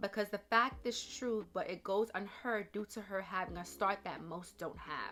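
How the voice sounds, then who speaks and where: Using a bright, sharp tone with vocal fry, a woman talks at a fairly slow pace with ordinary pitch variation. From Jamaican heritage. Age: 30s. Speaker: YouTuber. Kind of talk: reading a quote aloud.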